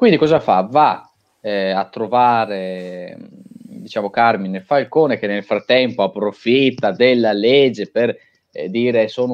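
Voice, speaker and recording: A man speaks at a fairly slow pace with a medium pitch. His pitch varies in an ordinary way. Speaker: podcast co-host discussing films. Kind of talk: casual chat about films.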